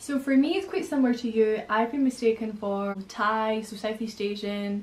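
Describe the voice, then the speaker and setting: A fairly high-pitched woman's voice over noticeable background noise. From Spain, later Scotland. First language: Spanish. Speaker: YouTuber. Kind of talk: casual chat.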